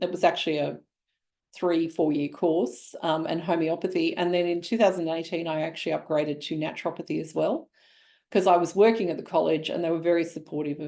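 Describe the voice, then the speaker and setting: A woman's fairly low, dark, mellow voice with vocal fry and an Australian accent, fairly quick in pace and fairly even in intonation. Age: 60s. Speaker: naturopath and nutritionist. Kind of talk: webinar presentation. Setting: online webinar. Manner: conversational with filler words.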